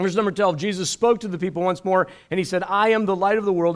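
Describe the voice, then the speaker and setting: A man with a high-pitched voice speaks on a very clean recording against a silent background. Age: 50s. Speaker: guest preacher. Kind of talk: sermon. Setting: church service with live audience.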